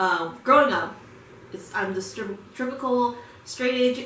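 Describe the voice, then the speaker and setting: Amid noticeable background noise and audible room echo, a woman with an American accent speaks at a fairly slow pace. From United States. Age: 20s. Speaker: music video reactor. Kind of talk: casual reaction commentary. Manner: casual, many fillers.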